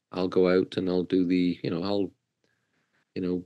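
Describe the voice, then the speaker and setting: A man speaks with a British accent. His pitch is very deep and low, against a quiet background. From southern UK. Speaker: corporate wellness coach. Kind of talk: podcast interview. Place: home room. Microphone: video call.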